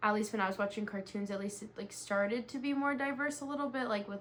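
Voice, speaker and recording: A woman talks very fast in a Southern California accent. Her pitch is medium, with ordinary variation. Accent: Southern California American English. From US West Coast, Los Angeles. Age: 20s. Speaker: interviewee. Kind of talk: research interview. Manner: many fillers, like and um.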